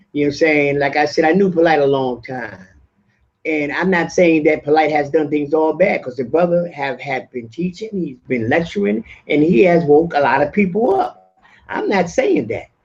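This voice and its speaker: Pitched fairly high, a man's voice has ordinary pitch variation. He keeps a moderate pace. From New York, Brooklyn (Brownsville). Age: 60s. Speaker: community teacher. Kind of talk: heated debate. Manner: halting.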